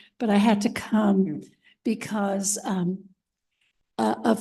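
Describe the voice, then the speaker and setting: A woman's medium-pitched, somewhat breathy voice with a dark, mellow tone and fairly even intonation. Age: 80s+. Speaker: resident speaking at public comment. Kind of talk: public comment at township meeting. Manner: halting, many fillers.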